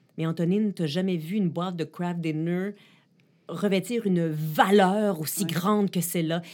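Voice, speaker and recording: A woman's plain, everyday voice, fairly low in pitch, with fairly even intonation and a moderate pace. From Ottawa and Quebec, Canada. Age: 40s. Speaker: journalist and tech columnist. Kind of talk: interview.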